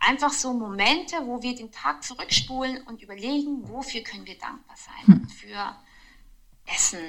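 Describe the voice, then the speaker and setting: At a moderate pace, a woman talks in an unremarkable speaking voice with lively intonation. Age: 30s. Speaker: mother of four. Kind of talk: casual chat.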